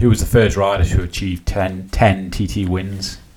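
Monotone, flat speech comes through noticeable background noise. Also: man. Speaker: podcast host. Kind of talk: casual interview chat.

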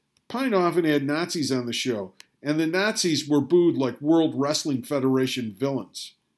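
Speaking with an American accent, a man has an unremarkable speaking voice. His pace is moderate, with ordinary pitch variation. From Rochester, New York. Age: 60s. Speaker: podcaster. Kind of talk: scripted narration.

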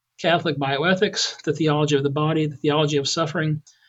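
A man talks at a very fast pace. He has an American accent. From US Southwest (southern Colorado). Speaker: physician and medical school president. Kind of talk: interview.

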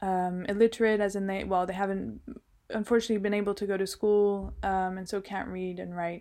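A woman speaks in a medium pitch with a dark, mellow tone. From Switzerland, Geneva. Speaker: fashion designer. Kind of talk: interview.

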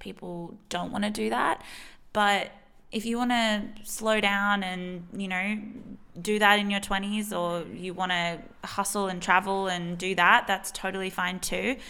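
A medium-pitched woman with an Australian accent and a bright, sharp tone. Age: 20s. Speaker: podcast host and consultant. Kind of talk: casual solo chat. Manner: animated.

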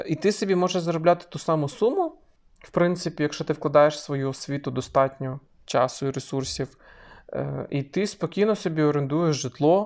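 A man with an unremarkable speaking voice talks at a fairly high pitch with ordinary pitch variation. His loudness swings widely against a quiet background. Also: moderate pace. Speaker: podcast co-host. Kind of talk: casual chat.

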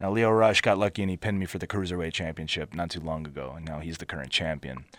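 A man with a Philadelphia accent and a very deep, low pitch, speaking at a very fast pace on a very clean recording with a silent background. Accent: Philadelphia American. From Philadelphia area, US. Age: 30s. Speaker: pro wrestler. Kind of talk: casual interview.

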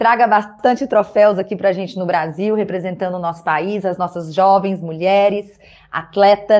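Here is a woman with an ordinary speaking voice, pitched in the medium range. Her intonation is fairly even and her pace moderate. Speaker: podcast host. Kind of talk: interview.

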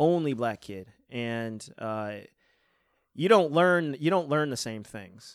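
Over a silent background in a very clean recording, a man talks at a very slow pace with long, frequent pauses, lively intonation and big swings in loudness. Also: fairly high pitch for a man. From West Seneca, Buffalo area, New York. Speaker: podcast co-host. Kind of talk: casual chat. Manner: halting.

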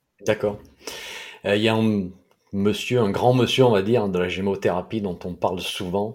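A man's fairly low-pitched voice with fairly even intonation and long, frequent pauses. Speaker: podcast host, herbal medicine blogger. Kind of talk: interview. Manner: slow.

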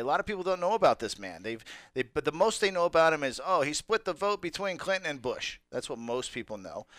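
A man talks very fast at a fairly high pitch with vocal fry and very wide pitch swings. The sound is dry and close with no echo, and the recording is very clean with a silent background. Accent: American. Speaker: radio host. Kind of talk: casual banter on a talk radio show. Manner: joking, animated.

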